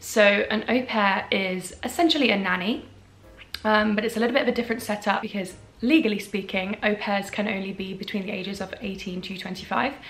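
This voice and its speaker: The speech is fairly quick, in a British accent. Pitch variation is ordinary, and music plays in the background. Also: woman, medium pitch for a woman. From England. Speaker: content creator. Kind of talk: casual advice vlog.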